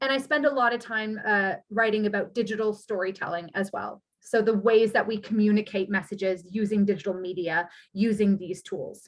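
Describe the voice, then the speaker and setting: A woman talks at a moderate pace in an ordinary speaking voice with a Canadian accent, pitched fairly high with fairly even intonation. The recording is very clean with a silent background. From Canada (Toronto). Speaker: university lecturer. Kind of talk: academic talk. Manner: conversational, with frequent fillers.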